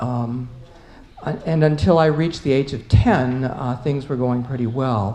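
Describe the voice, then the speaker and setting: A woman with an American accent speaks in a very deep, low voice with ordinary pitch variation. Room echo is audible and background noise is noticeable. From US South, Atlanta. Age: 70s. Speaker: panelist. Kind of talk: conference panel talk. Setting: conference panel with audience. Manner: halting.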